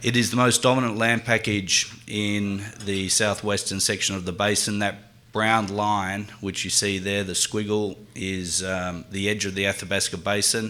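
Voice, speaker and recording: A man's fairly low pitch and bright, sharp tone in a strong Australian accent, with monotone, flat intonation at a moderate pace. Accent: Australian, thick. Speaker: mining company executive. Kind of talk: corporate presentation. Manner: halting, many fillers.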